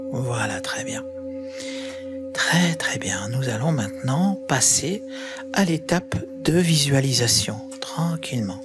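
A man at a very slow pace with long, frequent pauses, clear music in the background. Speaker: guided meditation and sound healing guide. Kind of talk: guided yoga nidra meditation. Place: home room. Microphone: studio mic.

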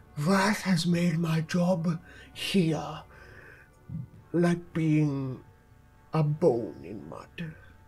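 Putting on a character voice, a man speaks at a fairly high pitch. He goes at a very slow pace, with long, frequent pauses. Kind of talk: game master voicing NPC. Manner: cryptic, solemn.

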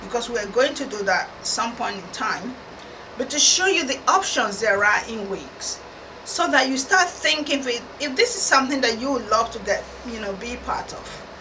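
A woman's raised, projected voice at a moderate pace, with big swings in loudness and noticeable background noise. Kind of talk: explainer to camera. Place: studio.

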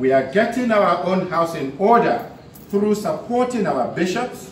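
A man talks at a fairly slow pace, with light background noise and audible echo in the room. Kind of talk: formal speech reading. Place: hall. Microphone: podium.

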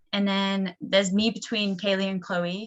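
A woman with a North Welsh accent at a medium pitch and moderate pace, her intonation fairly even. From North Wales, Gwynedd. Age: 20s. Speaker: college soccer player. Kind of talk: presentation.

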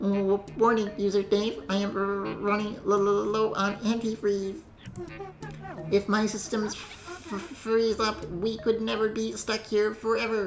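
A female-sounding put-on character voice comes across as robotic, medium in pitch and fairly slow. Clear background noise is present. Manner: shivering.

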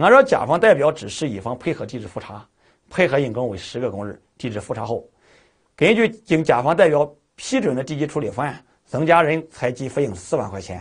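Somewhat breathy and at a fairly quick pace, a man's voice shows very wide pitch swings and big shifts in loudness over a quiet background. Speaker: exam prep lecturer. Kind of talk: lecture.

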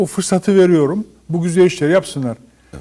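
Against a quiet background, a man with a dark, mellow tone and a high pitch talks at a fairly quick pace. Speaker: professor and foundation director. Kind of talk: interview. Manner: formal. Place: studio. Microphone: lapel.

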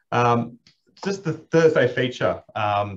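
A somewhat breathy voice with an Australian accent. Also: man. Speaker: racing manager and host; host. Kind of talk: casual chat. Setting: video call. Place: office. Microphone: video call.

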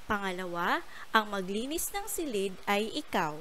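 With very wide pitch swings and a bright, sharp tone, the speech unfolds at a very slow pace amid audible room echo. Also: woman. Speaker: primary school teacher. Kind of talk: lesson for young pupils. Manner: slow and clear.

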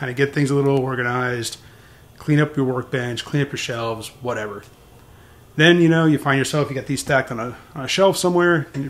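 Fairly even intonation marks this man's speech. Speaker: DIY channel host. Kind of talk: casual vlog chat. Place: garage. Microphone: phone near.

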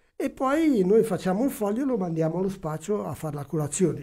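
This man's voice sits high in pitch, with a dark, mellow tone. He talks at a fairly quick pace with lively intonation. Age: old. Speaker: blood donor association volunteer; guest. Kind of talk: radio interview. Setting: radio studio. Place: studio. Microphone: studio mic.

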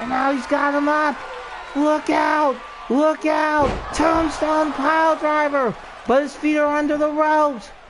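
Someone shouts at a fairly slow pace over noticeable background noise. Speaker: wrestling commentator. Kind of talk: live commentary.

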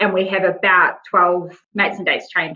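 A woman talks at a very fast pace. She has a New Zealand accent. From New Zealand, Wellington. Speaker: nonprofit general manager. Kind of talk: interview. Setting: podcast recording.

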